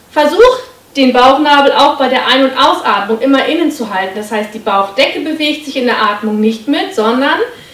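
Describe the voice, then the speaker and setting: Heard with audible room echo, a woman with a high voice speaks at a moderate pace. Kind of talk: exercise tutorial instruction. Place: home room.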